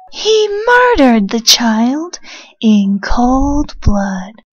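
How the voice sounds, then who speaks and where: A put-on, female-sounding character voice, high-pitched, at a very slow pace. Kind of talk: comic dub. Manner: angry, accusing.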